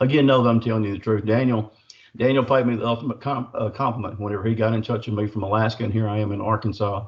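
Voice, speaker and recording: The voice carries a Southern US accent. It sounds somewhat breathy. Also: man. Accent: US South. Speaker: cryptid researcher and author. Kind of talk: casual chat. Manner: fast; animated.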